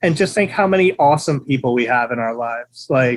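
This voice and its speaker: Very wide pitch swings from a man with an American accent. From Pennsylvania, small town near Allentown. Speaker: skateboarder. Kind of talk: casual chat.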